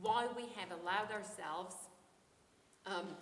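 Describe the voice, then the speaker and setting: A woman speaks at a medium pitch. Noticeable background noise and audible room echo fill the recording. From Norway, Oslo. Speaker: philosophy professor. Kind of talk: academic conference talk. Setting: conference. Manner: hesitant, many ums.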